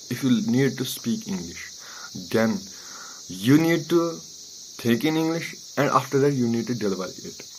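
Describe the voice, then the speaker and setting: A man at a medium pitch with a Kashmiri accent. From Kashmir, India. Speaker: maths tutor and coaching centre administrator. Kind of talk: motivational talk to camera. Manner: halting.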